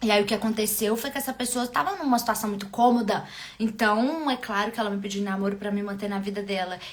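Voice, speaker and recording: Over noticeable background noise, a woman talks very fast. Her pitch is fairly high, with ordinary variation. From Minas Gerais, Brazil. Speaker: love and relationship coach. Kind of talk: live stream talk to viewers. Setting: live stream.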